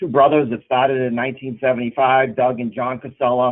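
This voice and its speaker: The speaker has a Boston accent. The intonation is monotone and flat. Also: man. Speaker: recycling company executive. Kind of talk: webinar presentation. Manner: hesitant, many fillers.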